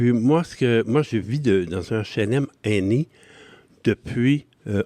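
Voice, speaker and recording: A man talks at medium pitch with lively intonation and a dark, mellow tone. The sound is dry and close, with no echo. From Quebec, Gaspésie then Montreal from age nine. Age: 70s. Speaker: senior resident interviewee. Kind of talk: podcast interview. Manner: hesitant, many fillers.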